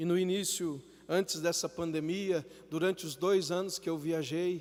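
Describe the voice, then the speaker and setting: Speaking at a fairly slow pace, a man uses a high pitch. His intonation is monotone and flat. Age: 40s. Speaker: preacher, missionary. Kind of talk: live sermon in church.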